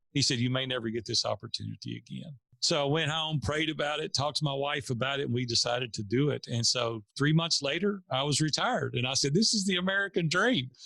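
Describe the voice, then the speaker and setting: Fairly high in pitch for a man, a bright, sharp voice with a Tennessee accent rushes along at a very fast pace with lively intonation and hardly any pauses. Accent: Southern US (Tennessee). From US South, Nashville, Tennessee. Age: 50s. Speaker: entrepreneur. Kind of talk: interview storytelling.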